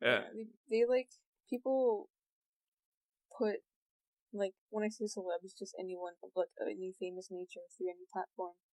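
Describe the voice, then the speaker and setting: A woman speaks at a moderate pace and medium pitch, with fairly even intonation, big swings in loudness and long, frequent pauses. The sound is dry and close, with no echo. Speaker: artist. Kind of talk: casual chat. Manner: monotone.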